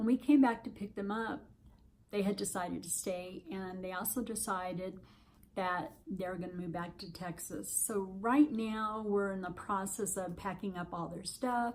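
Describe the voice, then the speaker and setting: A woman speaks at a moderate pace with medium pitch. Her voice is somewhat breathy. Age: 60s. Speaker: vlogger on weight loss surgery. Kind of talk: casual vlog update. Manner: hesitant, many fillers.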